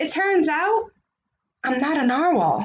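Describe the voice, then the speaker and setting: In a put-on character voice, a woman speaks at an extremely high pitch and a fairly slow pace. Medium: read story.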